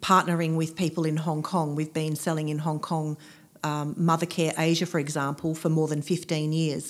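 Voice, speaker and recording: On a very clean recording with a silent background, a woman with an Australian accent speaks at a very deep, low pitch in a monotone, flat intonation. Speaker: businesswoman and aromatherapist. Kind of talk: interview.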